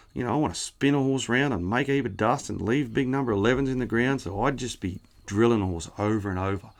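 Very fast speech from a man at medium pitch, with ordinary pitch variation, on a very clean recording with a silent background. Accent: rural Australian. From New South Wales, Australia. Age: 40s. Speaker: cutting horse trainer. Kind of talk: casual interview. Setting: at a showground.

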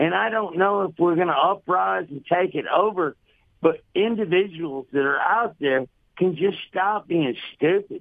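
A man with a Southern US accent, high pitch, ordinary pitch variation and a fairly slow pace. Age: 60s. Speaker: carpenter, radio caller. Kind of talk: call-in opinion. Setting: phone call.

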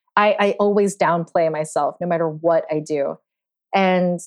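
Speaking with an American accent, a woman uses an ordinary speaking voice at a medium pitch and a fairly slow pace. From New York City (Queens). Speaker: puppeteer. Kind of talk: interview.

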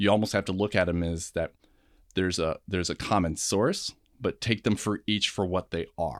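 Man with a normal speaking voice, fairly low pitch, fairly even intonation and a moderate pace, in a dry, close sound with no echo. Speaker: film buff. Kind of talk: casual chat about movies.

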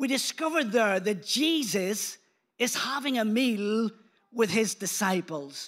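With a Belfast accent, a man speaks high in pitch at a fairly slow pace. His intonation is lively. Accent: Northern Irish (Belfast), moderately strong. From Belfast, Northern Ireland. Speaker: pastor. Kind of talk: sermon. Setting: church with congregation and online stream.

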